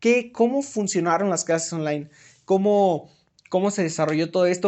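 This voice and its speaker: Here a man speaks with a Mexican accent. His voice is high in pitch. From Mexico. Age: 20s. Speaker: podcast host. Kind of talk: solo podcast monologue. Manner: hesitant, many fillers and repetitions.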